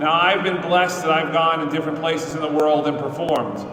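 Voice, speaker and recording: A man with a New York accent, fairly high in pitch with fairly even intonation, amid audible room echo and noticeable background noise. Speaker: state legislator. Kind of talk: speech at a press conference. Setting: state capitol building, indoors with audience. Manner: unscripted, conversational.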